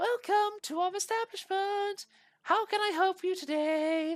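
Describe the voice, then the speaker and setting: In an extremely high pitch, a man talks. He is doing a put-on character voice. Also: moderate pace. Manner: convincing female voice.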